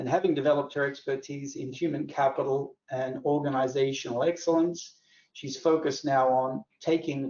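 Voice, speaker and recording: Speaking with an American accent, a man has a fairly high voice. His pace is moderate and his intonation fairly even. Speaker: company host. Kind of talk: webinar introduction.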